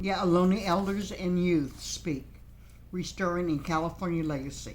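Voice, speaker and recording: A woman speaks with a fairly low voice and vocal fry at a moderate pace. Her intonation stays fairly even amid audible room echo. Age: 70s. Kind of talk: interview.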